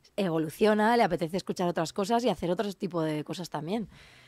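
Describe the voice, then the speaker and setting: A woman speaks at a fairly quick pace with a medium pitch, ordinary pitch variation and a dark, mellow tone. The recording is very clean and dry, close with no echo, and the background is silent. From Navarre, Spain (Cascante, Ribera). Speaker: rapper. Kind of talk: casual interview.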